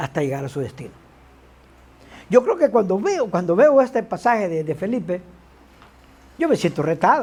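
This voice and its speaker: The pace is moderate. Long pauses come often. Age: 60s. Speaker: preacher. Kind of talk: sermon. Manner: animated.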